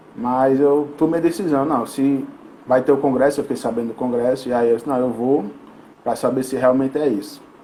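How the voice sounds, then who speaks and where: The man's voice sits at a fairly high pitch. Noticeable background noise is present. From Brazil, Rio Grande do Norte (Mossoró). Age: 20s. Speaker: sport psychologist. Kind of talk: interview podcast.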